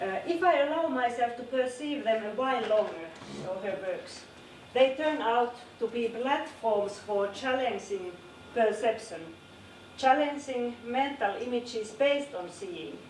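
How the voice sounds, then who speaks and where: Her intonation lively and her pitch high, a woman speaks at a fairly slow pace amid noticeable background noise and audible room echo. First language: not English. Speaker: art teacher. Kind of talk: lecture. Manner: halting.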